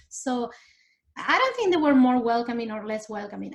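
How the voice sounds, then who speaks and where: Speaking in a strong Argentine accent, a woman uses a high pitch and lively intonation at a moderate pace. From Argentina. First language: Spanish. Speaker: immigrant interviewee. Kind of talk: interview. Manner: animated.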